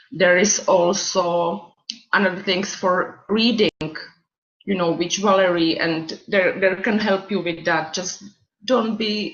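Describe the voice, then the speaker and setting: With a non-native accent, a woman speaks at a very slow pace. Her intonation stays fairly even. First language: not English. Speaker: student mentor. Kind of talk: orientation talk. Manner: halting.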